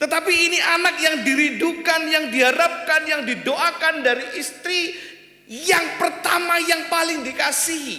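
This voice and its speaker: In an East Javanese accent, a man projects a raised voice at an extremely high pitch, with fairly even intonation and a fairly slow pace. Audible room echo and noticeable background noise surround him. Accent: East Javanese accent still noticeable. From East Java (Kediri), Indonesia. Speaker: guest preacher. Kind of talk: sermon. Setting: church.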